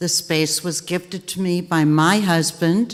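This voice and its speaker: Noticeable background noise around a woman speaking at a fairly low pitch. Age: 60s. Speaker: arts donor. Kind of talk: ceremony speech. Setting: theater with audience.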